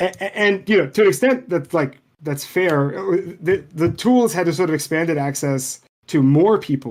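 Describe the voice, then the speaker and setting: At a moderate pace, a man with a high voice speaks with lively intonation. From Lebanon (Beirut). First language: Arabic. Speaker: programming language designer and teacher. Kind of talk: interview conversation. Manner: halting, many repeated words.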